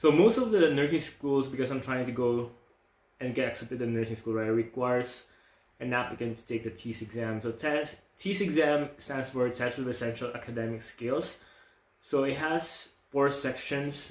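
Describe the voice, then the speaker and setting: A man's medium-pitched voice with a non-native accent, at a moderate pace with ordinary pitch variation. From outside the US. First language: not English. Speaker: nursing school applicant. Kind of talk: casual vlog talk.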